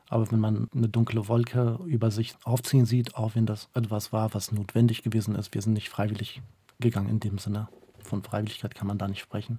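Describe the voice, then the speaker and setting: This man's fairly low, dark, mellow voice is somewhat breathy, moving at a fairly quick pace in a monotone, flat delivery. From northern Iraq, Mosul; moved to Germany at age 9. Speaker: interpreter and human rights activist. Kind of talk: radio interview.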